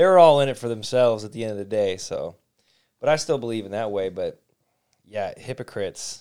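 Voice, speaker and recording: A man with a Midwestern American accent on a very clean recording with a silent background. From Detroit. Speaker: podcast host. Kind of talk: casual chat.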